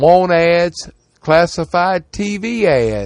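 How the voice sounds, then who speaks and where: This voice has a Southern US accent. Its intonation is lively. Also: man. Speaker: radio host. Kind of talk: radio ad patter, reading classifieds aloud. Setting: studio. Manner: brisk, repetitive, rhythmic, repeating phone numbers twice.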